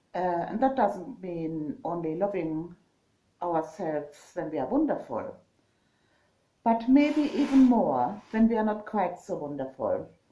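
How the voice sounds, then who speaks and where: A woman with a dark, mellow tone speaks at a fairly slow pace, her pitch swinging very widely. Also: medium pitch for a woman. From Germany. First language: German. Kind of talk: casual vlog talk. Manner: halting, many fillers.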